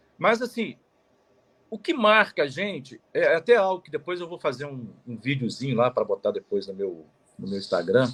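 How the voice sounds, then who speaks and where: Pitch swings very widely in this speech. It comes from a man with a high pitch. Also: moderate pace, big swings in loudness. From Minas Gerais, Zona da Mata (Manhumirim). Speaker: lawyer. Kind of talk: interview, life story. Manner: halting, many fillers.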